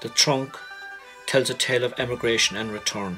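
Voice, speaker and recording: Music plays in the background as someone talks at a fairly quick pace with an Irish accent. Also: man. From Cork, Ireland. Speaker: photographer. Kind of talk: documentary narration.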